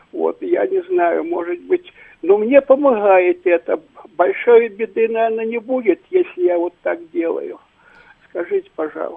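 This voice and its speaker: A man talks at an extremely high pitch and a fairly slow pace. His pitch swings very widely. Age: 80s+. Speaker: caller, retired university lecturer. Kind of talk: call-in question.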